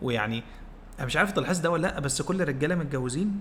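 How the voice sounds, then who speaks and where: In audible room echo, a man talks at a fairly quick pace with ordinary pitch variation. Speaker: podcast co-host. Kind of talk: casual chat. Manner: calm.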